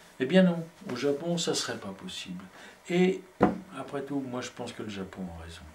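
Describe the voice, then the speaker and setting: A man speaks at a fairly slow pace with very wide pitch swings. Noticeable background noise runs throughout. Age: 60s. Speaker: poet and filmmaker. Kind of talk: casual conversation. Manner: halting, many hesitations.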